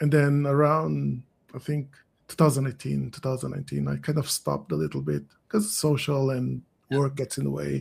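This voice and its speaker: A man with a Portuguese accent talks at a moderate pace. His volume rises and falls in big swings. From Portugal. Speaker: SEO consultant. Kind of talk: casual interview. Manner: halting.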